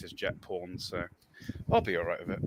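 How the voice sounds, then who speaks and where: A man with a West Country accent, talking at a fairly quick pace. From West Country, England. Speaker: podcast co-host. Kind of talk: casual chat.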